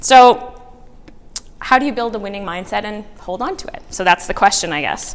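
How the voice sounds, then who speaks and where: This woman talks loudly at a moderate pace, her fairly high pitch moving with ordinary variation over noticeable background noise. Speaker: motivational speaker. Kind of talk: talk to a live audience. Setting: room with audience.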